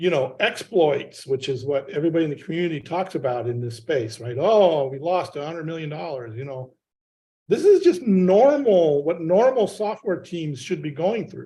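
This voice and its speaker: This man's voice is high-pitched, with a dark, mellow tone. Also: big swings in loudness. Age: 60s. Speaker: software testing veteran. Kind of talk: community call discussion.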